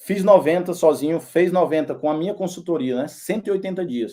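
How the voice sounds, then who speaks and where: A man's fairly high voice with a dark, mellow tone at a fairly quick pace. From Northeast Brazil, Teresina, Piauí. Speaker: personal trainer. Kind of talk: sales pitch. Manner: casual, with fillers and repetitions.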